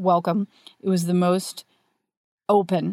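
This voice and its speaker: A woman's plain, everyday voice at a medium pitch and moderate pace, in a very clean recording with a silent background and a dry, close sound with no echo. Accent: American. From rural US. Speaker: novelist. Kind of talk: interview.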